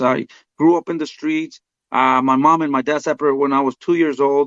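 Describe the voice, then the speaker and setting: A man with a Spanish accent speaks at a fairly quick pace in a monotone, flat intonation. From Mexico. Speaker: boxing trainer. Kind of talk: interview. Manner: halting, many fillers.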